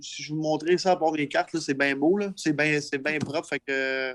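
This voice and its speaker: At a moderate pace and fairly high pitch, a man speaks in an ordinary speaking voice, in a dry, close sound with no echo. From Quebec. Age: 30s. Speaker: entrepreneur. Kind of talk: interview. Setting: livestream podcast.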